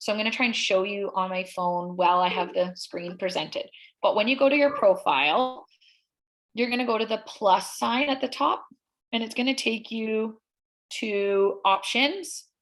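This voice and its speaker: Her fairly high pitch and ordinary pitch variation mark a woman talking at a moderate pace in a normal speaking voice. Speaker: social media workshop presenter. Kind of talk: tutorial.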